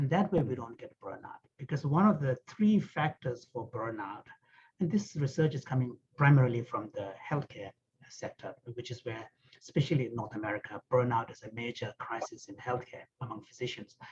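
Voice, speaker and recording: A man with a medium pitch and a somewhat breathy voice speaks at a moderate pace, with lively intonation and big swings in loudness. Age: 60s. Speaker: author and Buddhist scholar. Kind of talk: online panel discussion.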